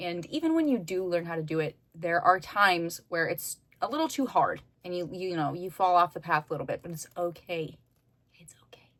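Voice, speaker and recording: A woman speaks loudly at a moderate pace. Her pitch is fairly low. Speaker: youtuber. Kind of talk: casual chat.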